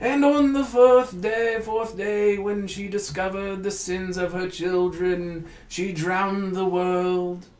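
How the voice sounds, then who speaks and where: A booming, put-on character voice at a middle pitch moves at a fairly slow pace with hardly any pauses. There is a slight echo. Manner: sermonizing, ominous.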